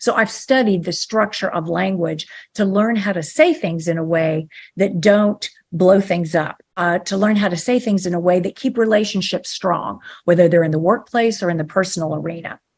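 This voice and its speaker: At a moderate pace, a woman uses an unremarkable speaking voice, her pitch medium and its variation ordinary. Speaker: ontological coach and author. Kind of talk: podcast interview.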